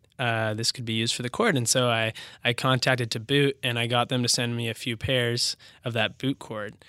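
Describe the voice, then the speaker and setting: A man's medium-pitched voice with a West Coast accent, bright and sharp in tone, at a fairly quick pace with monotone, flat intonation, dry and close with no echo, on a very clean recording with a silent background. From Washington State, Bellevue. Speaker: business founder. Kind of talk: interview.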